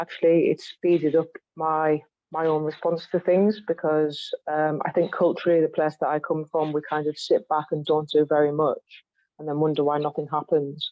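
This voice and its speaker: Speaking with a Cumbrian accent, a woman has a very deep, low pitch. Her intonation is monotone and flat, and her pace is moderate. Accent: Cumbrian accent, commented on. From West Cumbria, England. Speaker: spoken word poet. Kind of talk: online panel discussion.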